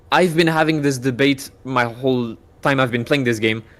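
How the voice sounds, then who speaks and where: This man speaks with a French accent at a medium pitch. His pace is moderate and his pitch variation is ordinary. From France, southwest. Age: 20s. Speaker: streamer. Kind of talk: casual chat.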